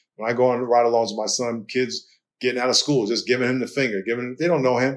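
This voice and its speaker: On a very clean recording with a silent background, a man of medium pitch talks at a very fast pace with an American accent. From New York. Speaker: pastor and author, former football player. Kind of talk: interview conversation.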